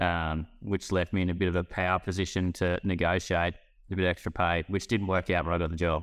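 A man with an Australian accent speaks at a fairly quick pace. His very deep, low voice stays monotone and flat. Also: very clean recording, silent background. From northern New South Wales, Australia. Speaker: former livestock marketing worker, podcast co-host. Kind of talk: casual chat.

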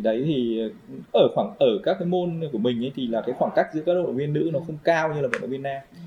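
Very fast male speech against noticeable background noise. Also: fairly high pitch for a man, lively intonation. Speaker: triathlon coach. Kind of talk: casual interview.

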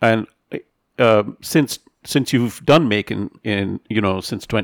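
Recorded very cleanly against a silent background, dry and close with no echo, a man speaks in an unremarkable speaking voice, fairly low in pitch with ordinary pitch variation. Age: middle-aged. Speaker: podcast host. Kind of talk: interview.

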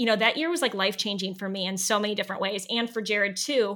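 A woman with an American accent speaks in a fairly high voice with a bright, sharp tone. The recording is very clean, with a silent background. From US Midwest, Northeast Ohio. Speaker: former teacher. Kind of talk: interview.

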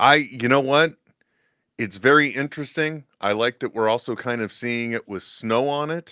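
An ordinary speaking voice from a man, at a medium pitch with ordinary pitch variation and a moderate pace, in a dry, close, very clean recording with a silent background. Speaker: co-host. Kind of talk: casual chat.

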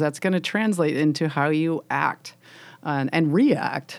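With an American accent, a woman uses a plain, everyday voice at a fairly low pitch, moderate pace and lively intonation. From US Midwest, Illinois. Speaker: nature photographer and writer. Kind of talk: interview conversation.

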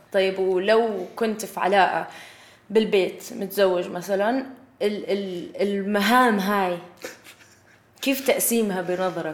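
In a room with audible echo, a woman talks at a very slow pace with medium pitch and ordinary pitch variation. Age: 20s. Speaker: podcast host. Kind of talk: casual chat.

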